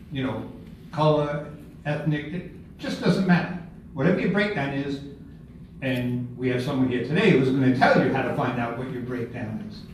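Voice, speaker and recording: Long, frequent pauses mark a man's speech, heard with audible room echo and light background noise. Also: ordinary pitch variation, moderate pace, big swings in loudness. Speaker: presenter. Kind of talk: workshop talk. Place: meeting room. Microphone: camera far.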